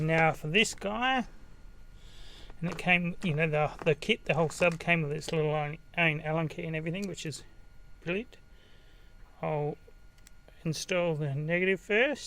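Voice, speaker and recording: Using a high pitch and a bright, sharp tone, a man with an Australian accent speaks with ordinary pitch variation and long, frequent pauses. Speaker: DIY car audio vlogger. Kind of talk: tutorial. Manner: fast; hesitant, many fillers.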